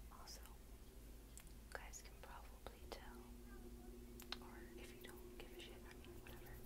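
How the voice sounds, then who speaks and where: A woman at a fairly slow pace, loud background noise behind her. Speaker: vlogger. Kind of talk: casual vlog chat. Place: home room.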